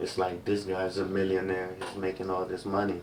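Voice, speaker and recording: With an African accent, a man speaks at a fairly low pitch. Room echo is audible. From Cameroon. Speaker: music industry label rep. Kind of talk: casual podcast interview.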